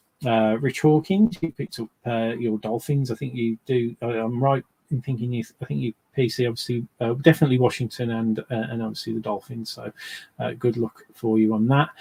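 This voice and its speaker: With a dark, mellow tone, a man of medium pitch speaks at a fairly quick pace in a somewhat breathy voice with fairly even intonation, the sound dry and close with no echo. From English Midlands, near Birmingham. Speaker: sports card box breaker, streamer. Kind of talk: live stream commentary. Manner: hesitant, many fillers.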